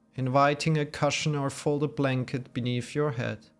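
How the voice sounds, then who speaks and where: Over music in the background, the speaker goes at a fairly slow pace with fairly even intonation. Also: man. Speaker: yoga nidra guide. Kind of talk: guided meditation. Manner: slow, soft-spoken.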